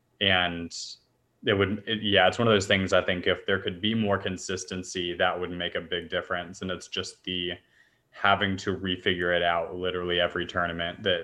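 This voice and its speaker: Very deep, low male voice in a monotone, flat delivery with an American accent. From grew up in China as an American. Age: 20s. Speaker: volleyball coach. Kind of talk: casual interview.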